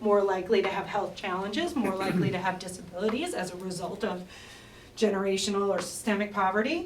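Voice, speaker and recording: A woman with a medium-pitched voice is heard over noticeable background noise. The room echo is audible. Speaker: researcher presenting demographics. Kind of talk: conference presentation. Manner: fast.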